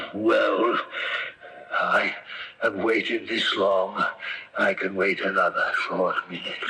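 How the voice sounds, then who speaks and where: Using a put-on character voice, a man speaks at a fairly slow pace. He leaves long, frequent pauses. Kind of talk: 1970s radio drama acting. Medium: old radio play. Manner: imperious, archaic speech.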